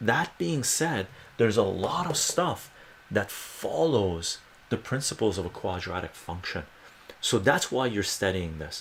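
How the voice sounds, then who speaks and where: Soft-spoken and fairly low in pitch, a man moves at a fairly slow pace with very wide pitch swings. Noticeable background noise sits behind him. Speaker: math tutor. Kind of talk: live-stream math tutoring lesson. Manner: soft-spoken, explanatory.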